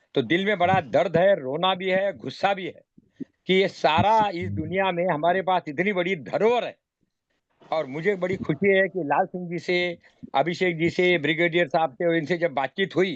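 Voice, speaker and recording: Here a man speaks in a high pitch with ordinary pitch variation. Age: 70s. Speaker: meeting moderator, cow-protection activist. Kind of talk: online meeting discussion.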